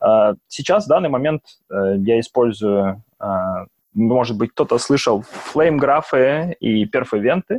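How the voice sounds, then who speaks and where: A man speaks at a medium pitch with lively intonation and very even loudness. His pace is fairly slow, with long, frequent pauses, in a dry, close sound with no echo. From Russia, Belgorod. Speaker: software engineer. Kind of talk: interview about programming. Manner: halting, many fillers.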